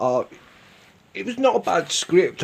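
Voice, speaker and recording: A man speaks with a Birmingham accent. The background is quiet. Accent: Brummie. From Birmingham, England. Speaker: YouTube TV reviewer. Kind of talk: casual review commentary. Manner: hesitant, many fillers.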